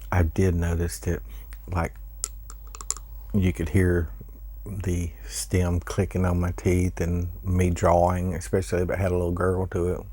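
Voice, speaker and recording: Soft-spoken and fairly slow with long, frequent pauses, a man talks in a very deep, low voice with ordinary pitch variation over noticeable background noise. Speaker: pipe smoking YouTuber. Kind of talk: casual chat.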